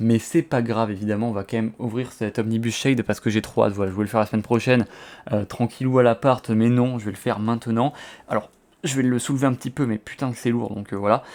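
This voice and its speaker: A man's medium-pitched voice moves at a very fast pace. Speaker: comics YouTuber. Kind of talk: unboxing, casual video. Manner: animated, excited; hesitant with fillers.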